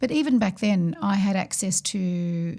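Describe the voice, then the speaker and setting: A somewhat breathy woman's voice, dark and mellow in tone, at a medium pitch, with an Australian accent. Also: very clean recording, silent background. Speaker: financial services executive. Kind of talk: podcast discussion.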